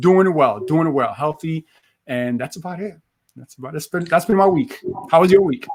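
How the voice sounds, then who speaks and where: A man with a New York accent, high pitch, lively intonation and big swings in loudness. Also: moderate pace. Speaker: motivational speaker. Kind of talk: interview.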